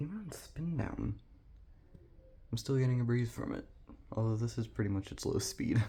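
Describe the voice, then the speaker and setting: A man speaks quietly in a relaxed tone. He leaves long, frequent pauses. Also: moderate pace. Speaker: ceiling fan video creator. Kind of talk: casual product demo. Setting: indoors in a model home bedroom. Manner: quiet, hushed; casual, relaxed.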